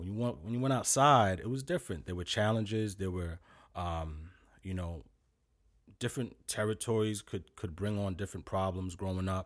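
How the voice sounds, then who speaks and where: On a very clean recording with a silent background, a man speaks with a very deep, low voice. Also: ordinary pitch variation, moderate pace. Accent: New York. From Brooklyn, New York (East Flatbush). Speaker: fitness trainer. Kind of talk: interview.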